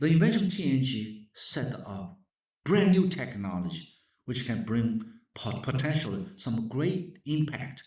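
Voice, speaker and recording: Amid audible room echo, a somewhat breathy man with a Chinese accent speaks at a fairly slow pace in a medium pitch with very wide pitch swings. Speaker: professor. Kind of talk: lecture. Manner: halting.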